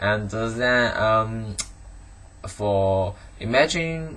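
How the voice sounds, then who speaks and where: A man with a Chinese accent speaks at a fairly low pitch in a bright, sharp tone, with audible echo from the room. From China, Guangdong. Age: 20s. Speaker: student. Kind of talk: monologue answering interview questions. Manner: halting, many fillers and restarts.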